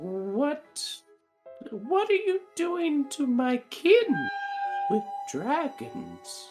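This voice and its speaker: Faint music plays in the background as a put-on character voice moves at a very slow pace, with very wide pitch swings and long, frequent pauses. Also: woman, high pitch for a woman. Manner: voice rising in alarm.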